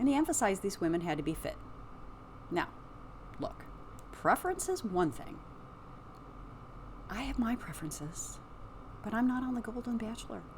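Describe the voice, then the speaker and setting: Over noticeable background noise, a woman talks at a fairly quick pace with long, frequent pauses. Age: 60s. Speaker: psychic podcaster. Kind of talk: casual commentary monologue. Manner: animated.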